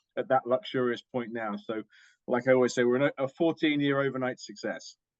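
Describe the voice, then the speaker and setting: With a British accent, a man talks at a very fast pace. His medium pitch keeps a fairly even intonation. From UK. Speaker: diagnostics company executive. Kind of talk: interview.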